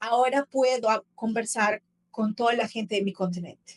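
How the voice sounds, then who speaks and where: A woman talks at a moderate pace with a fairly high pitch and fairly even intonation. The sound is dry and close, with no echo. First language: Portuguese (speaking Spanish). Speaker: travel content creator. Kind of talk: casual interview conversation.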